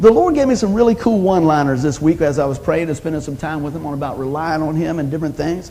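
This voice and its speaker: Over noticeable background noise, a man talks at a very fast pace in an animated, warm tone with a fairly high pitch. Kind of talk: sermon, preacher in full flow. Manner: animated, call-and-response, punchy one-liners; warm, exhorting, urging the congregation to say amen.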